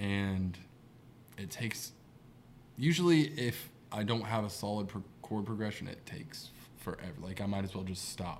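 Using lively intonation and long, frequent pauses, a man with a fairly low pitch talks at a moderate pace. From Southern Ohio. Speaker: musician, songwriter. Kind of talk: casual chat.

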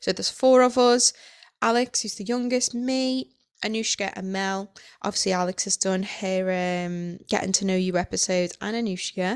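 Speaking at a moderate pace with ordinary pitch variation, this is a plain, everyday voice on a very clean recording against a silent background. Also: woman, medium pitch for a woman. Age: 30s. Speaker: podcast host and coach. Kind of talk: casual monologue.

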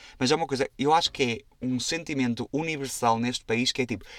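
A European Portuguese accent with ordinary pitch variation, on a very clean, dry, close recording with no echo and a silent background. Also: man. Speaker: podcast host. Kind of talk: casual solo monologue. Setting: recording inside a wardrobe. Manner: animated.

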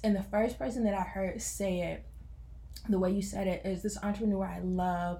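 A woman speaks at a moderate pace, and audible room echo surrounds her voice. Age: 20s. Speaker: entrepreneur and college pastor. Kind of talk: casual chat.

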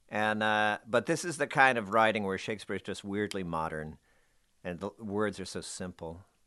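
With an American accent, a man uses a normal speaking voice with a fairly low pitch, ordinary pitch variation and a moderate pace against a quiet background. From New Jersey, Bayonne. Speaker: stage actor. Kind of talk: casual interview. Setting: studio.

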